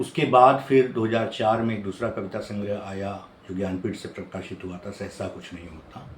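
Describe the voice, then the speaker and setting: A man speaks at a moderate pace in a fairly low voice, with ordinary pitch variation, big swings in loudness and noticeable background noise. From Chhattisgarh, India (Bhilai). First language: Odia (speaking Hindi). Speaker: professor and poet. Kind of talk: interview monologue. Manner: hesitant with fillers.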